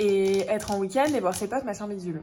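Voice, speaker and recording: Her pace moderate, a woman is talking. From northern France, Dunkirk. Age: 20s. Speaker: vlogger. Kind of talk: casual vlog talk. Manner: animated.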